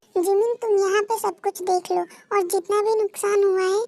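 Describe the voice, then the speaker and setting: Using a put-on character voice, a woman speaks at a moderate pace with extremely high pitch. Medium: fan dub. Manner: commanding, scolding.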